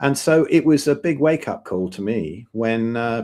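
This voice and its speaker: Intonation here is lively. The background is silent on a very clean recording. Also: man. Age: 60s. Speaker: guest on carnivore diet show. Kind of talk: casual interview. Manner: halting, many repeated words.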